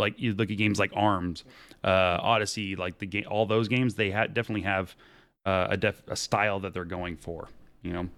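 A man talking at a fairly quick pace, very clean recording with a silent background. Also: fairly low pitch for a man. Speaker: podcast host. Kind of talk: casual chat. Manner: animated.

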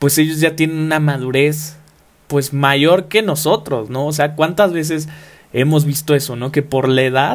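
Here is a man with an unremarkable speaking voice, fairly high in pitch, with fairly even intonation. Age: 20s. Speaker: podcast host, university student. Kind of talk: motivational podcast monologue.

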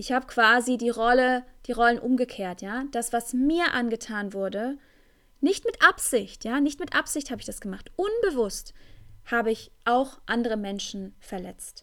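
A woman talks at a high pitch and a moderate pace, with ordinary pitch variation. The recording is very clean, with a silent background. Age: 20s. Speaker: tantra teacher and podcast host. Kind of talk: solo podcast monologue. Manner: hesitant, many fillers.

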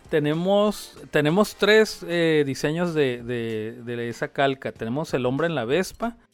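A man with a fairly high voice talks fairly slowly and with lively intonation while music plays in the background. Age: 50s. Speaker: pizzeria owner. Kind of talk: casual interview.

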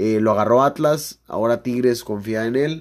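On a very clean recording with a silent background, a man speaks at a fairly slow pace. His pitch is medium, with ordinary variation. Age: 20s. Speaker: sports podcast host. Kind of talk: casual sports chat.

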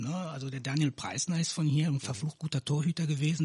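Very fast and fairly even in intonation, a man with a fairly high, somewhat breathy voice comes through with a dry, close sound and no echo. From Canary Islands, raised in Neuss (Rhineland) since 1989. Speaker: local politician. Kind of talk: casual interview.

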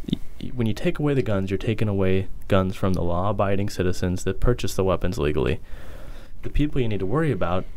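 Audible room echo surrounds a man speaking at a very fast pace. His pitch varies in an ordinary way. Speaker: podcast co-host. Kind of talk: casual chat.

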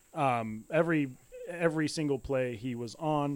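The man has an ordinary speaking voice with a fairly high pitch. His intonation stays fairly even. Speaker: football podcast co-host. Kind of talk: casual chat.

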